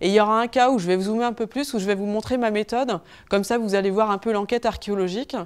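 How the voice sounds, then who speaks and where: A woman talks at a fairly quick pace, her pitch varying in an ordinary way. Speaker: archaeologist researcher; archaeology researcher giving public lecture. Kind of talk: public lecture. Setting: lecture hall with audience, no microphone. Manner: fast; hesitant, many fillers. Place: hall.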